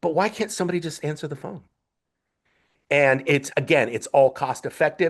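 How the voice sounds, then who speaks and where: Long, frequent pauses break up the speech of a man with an American accent, whose fairly high pitch shows ordinary pitch variation. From Northern California. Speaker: podcast guest, customer service advocate. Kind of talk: podcast interview. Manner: fast-talking; repeats words, restarts.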